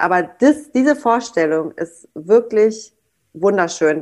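Lively in intonation, a woman talks at medium pitch in an ordinary speaking voice. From Germany, North Rhine-Westphalia. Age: 20s. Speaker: daycare director. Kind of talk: casual interview chat.

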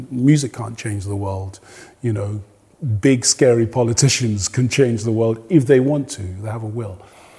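His tone dark and mellow, a man speaks somewhat breathily with ordinary pitch variation and big swings in loudness. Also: medium pitch for a man, moderate pace. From Nigeria. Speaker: jazz and soul singer. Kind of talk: interview.

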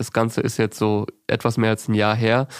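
A man's voice in a dry, close sound with no echo, on a very clean recording with a silent background. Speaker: podcast interviewer. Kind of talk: interview. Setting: comedy club room.

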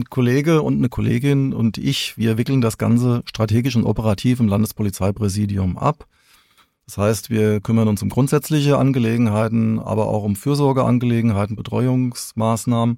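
Moderate pace, dark and mellow tone, and ordinary pitch variation. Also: man, medium pitch for a man. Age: 50s. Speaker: senior police officer. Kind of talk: interview. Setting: studio.

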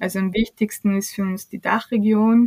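Somewhat breathy and monotone, a woman speaks at a moderate pace, the sound dry and close with no echo. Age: 30s. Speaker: startup CEO. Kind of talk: podcast interview.

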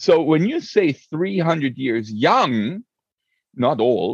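A man speaks in a fairly high voice with very wide pitch swings. The sound is dry and close, with no echo. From Europe, several countries. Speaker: Olympic rower and rowing coach. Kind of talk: interview conversation. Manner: animated; halting, many fillers.

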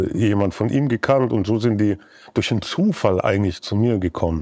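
A man's voice sits fairly low, with a dark, mellow tone. His pitch varies in an ordinary way. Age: 30s. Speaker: music producer. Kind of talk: casual chat. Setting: songwriting camp.

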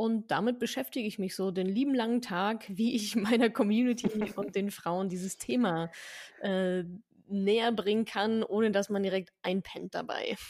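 A plain, everyday voice from a woman, medium in pitch, at a moderate pace with ordinary pitch variation. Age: 30s. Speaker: personal finance educator. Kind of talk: interview.

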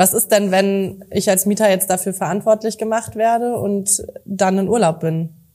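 At a moderate pace, a woman speaks at a medium pitch in a dark, mellow tone. Her intonation is monotone and flat. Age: young. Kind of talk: scripted outro; casual interview.

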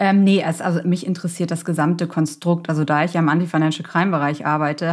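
Recorded very cleanly against a silent background, a woman speaks at a fairly quick pace in a very deep, low voice. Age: 40s. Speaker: startup founder and consultant. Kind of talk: interview. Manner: casual, many fillers.

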